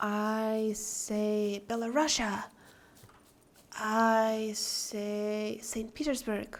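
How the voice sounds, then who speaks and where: A woman with an Eastern European accent speaks at a fairly high pitch at a very slow pace in a monotone, flat intonation, with audible room echo. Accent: Eastern European accent, noticeable. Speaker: game streamer. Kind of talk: live stream chat with viewers.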